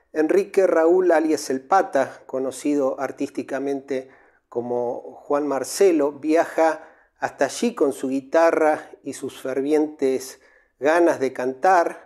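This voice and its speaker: Against a quiet background, a man speaks very slowly with a fairly high pitch and ordinary pitch variation. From Argentina. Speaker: radio-style music history host. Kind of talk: scripted narration. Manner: formal. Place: home room. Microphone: lapel.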